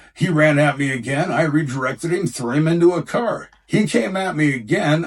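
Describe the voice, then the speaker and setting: A somewhat breathy man's voice, fairly high in pitch, with lively intonation. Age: 60s. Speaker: bouncer. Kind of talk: interview storytelling.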